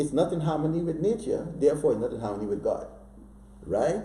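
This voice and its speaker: Audible room echo surrounds the voice. The pace stays moderate. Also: man. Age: 60s. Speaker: author. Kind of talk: interview. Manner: animated.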